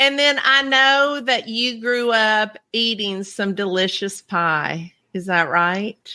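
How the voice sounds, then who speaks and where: In a very clean recording with a silent background, a woman with a Southern US accent talks very slowly yet with hardly any pauses, her fairly high voice carrying lively intonation and a bright, sharp tone. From Kentucky. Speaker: podcast host, cookie decorator. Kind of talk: casual interview chat.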